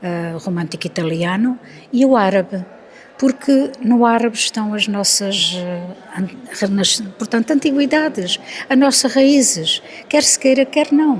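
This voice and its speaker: A woman with a fairly high pitch and lively intonation speaks at a fairly slow pace over noticeable background noise. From Alentejo, Portugal. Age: 70s. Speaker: author. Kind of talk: interview.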